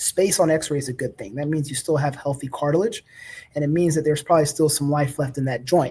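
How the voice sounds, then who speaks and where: Speaking at a very fast pace, a man has a fairly high pitch and fairly even intonation. His voice is somewhat breathy, with a dark, mellow tone. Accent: American. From US South, Baton Rouge, Louisiana. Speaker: orthopedic surgeon. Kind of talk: educational talk. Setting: live online presentation. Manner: conversational, with fillers.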